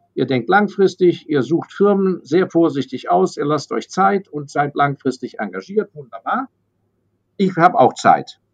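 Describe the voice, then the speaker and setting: The sound is dry and close with no echo as a man speaks fairly slowly in a high pitch with lively intonation. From Germany, raised abroad (London, Hong Kong, Paris). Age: 60s. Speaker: investor. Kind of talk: interview.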